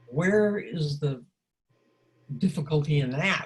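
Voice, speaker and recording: Somewhat breathy and very deep in pitch, a woman talks at a very slow pace with ordinary pitch variation. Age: 80s+. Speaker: life coach and teacher. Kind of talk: interview. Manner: halting.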